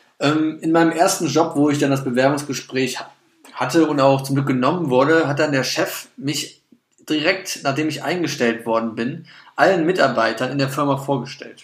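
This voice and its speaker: In a room with audible echo, a man speaks at a moderate pace and a fairly high pitch with fairly even intonation. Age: 20s. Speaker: podcast co-host. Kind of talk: casual chat. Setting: studio.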